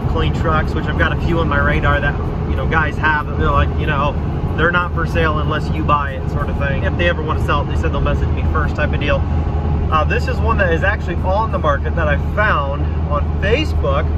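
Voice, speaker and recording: Loud background noise surrounds a man speaking at a fairly quick pace. The sound itself is dry, with no echo. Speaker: vlogger driving. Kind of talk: casual vlog chat. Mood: playful, self-mocking. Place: car. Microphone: phone near.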